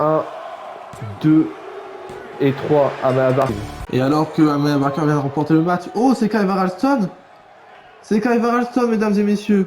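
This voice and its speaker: Over background music, a man speaks in an excited, energetic tone at a high pitch with very wide swings. His pace is fairly slow, with long, frequent pauses and very even loudness. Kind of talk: wrestling match commentary.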